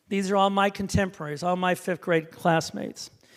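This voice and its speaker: In a very clean recording with a silent background, a man with a Midwestern American accent speaks at a fairly quick pace with ordinary pitch variation. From Indiana, US Midwest. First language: Hebrew. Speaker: author and speaker. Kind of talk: talk to an audience.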